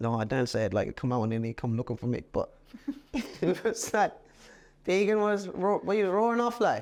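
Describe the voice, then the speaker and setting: Here a man speaks in a high voice with very wide pitch swings. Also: moderate pace. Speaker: jockey. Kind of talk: podcast interview answer. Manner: casual, anecdotal.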